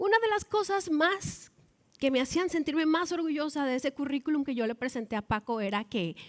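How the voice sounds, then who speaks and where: At a moderate pace, a woman with a northern Mexican accent makes very wide pitch swings, the sound dry and close with no echo. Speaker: baseball commentator, former sports reporter. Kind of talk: TEDx talk.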